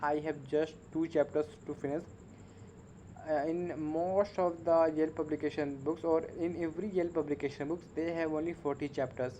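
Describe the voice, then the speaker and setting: A speaker with a non-native accent talks at a moderate pace in a dark, mellow tone with flat, monotone intonation. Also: man, fairly high pitch for a man. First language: not English. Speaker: English learner vlogger. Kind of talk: casual monologue to camera. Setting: at home at night, on camera. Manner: halting, many fillers.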